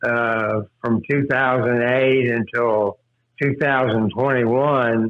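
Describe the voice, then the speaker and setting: At a very slow pace, the speech keeps a fairly even intonation. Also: man. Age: 70s. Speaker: retired fishing guide. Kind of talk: casual interview chat. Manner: halting, many fillers.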